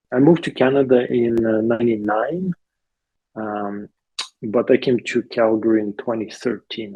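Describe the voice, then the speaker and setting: With a Ukrainian accent, a man speaks at a moderate pace in a medium pitch with ordinary pitch variation. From Ukraine. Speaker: interviewee, immigrant. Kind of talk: interview. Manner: halting, many fillers.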